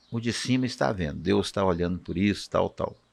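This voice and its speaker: Speaking at a moderate speed with lively intonation, a man is captured on a very clean recording with no background sound. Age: 60s. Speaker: physician. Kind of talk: casual chat.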